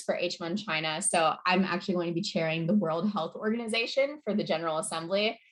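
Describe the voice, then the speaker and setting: A woman speaks at a fairly quick pace in a medium pitch. Her pitch varies in an ordinary way. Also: hardly any pauses. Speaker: model UN program director and presenter. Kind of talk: online info session presentation. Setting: video call. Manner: fast.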